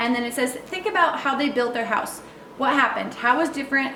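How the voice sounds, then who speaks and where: Over noticeable background noise and audible room echo, a woman talks in a high pitch. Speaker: homeschool curriculum creator and parent. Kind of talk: product walkthrough tutorial. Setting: at home, child sleeping nearby. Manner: fast.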